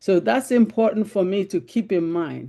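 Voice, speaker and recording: Someone speaks in a Nigerian accent against a quiet background. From Nigeria (Igbo, Biafra). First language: Igbo. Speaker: panel discussion participant. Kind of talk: group discussion.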